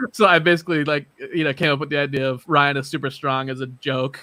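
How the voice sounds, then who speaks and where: A man speaks loudly at a very fast pace, fairly high in pitch. His tone is bright and sharp, his intonation fairly even. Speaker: percussionist and podcast host. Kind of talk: casual interview chat.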